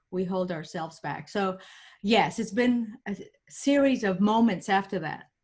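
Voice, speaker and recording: In a very clean recording with a silent background, a woman speaks somewhat breathily at a fairly slow pace, her medium pitch showing ordinary pitch variation. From Puerto Rico. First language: Spanish. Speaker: engineering professor and motivational speaker. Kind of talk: podcast interview. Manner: animated.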